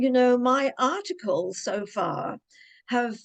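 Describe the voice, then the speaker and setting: A woman with a British accent speaks at a high pitch. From Cornwall, England. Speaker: mystery author and ghostwriter. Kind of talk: interview answer.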